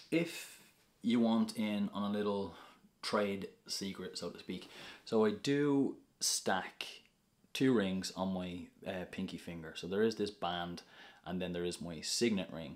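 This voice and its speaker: A man with a Dublin accent speaks at a very slow pace in a fairly low voice, with long, frequent pauses. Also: ordinary pitch variation. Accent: Dublin Irish. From Ireland, north Dublin. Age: 30s. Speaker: social media influencer. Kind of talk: casual vlog Q&A.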